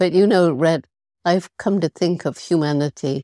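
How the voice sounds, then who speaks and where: A woman speaks with a dark, mellow tone. The recording is very clean with a silent background, and the sound is dry and close with no echo. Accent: British. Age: 80s+. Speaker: primatologist and conservationist. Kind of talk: podcast interview answer.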